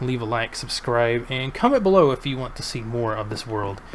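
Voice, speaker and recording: Fairly quick speech with ordinary pitch variation and noticeable background noise. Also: man. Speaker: gaming YouTuber. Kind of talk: gameplay commentary. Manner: halting, stumbles on words; casual with many fillers.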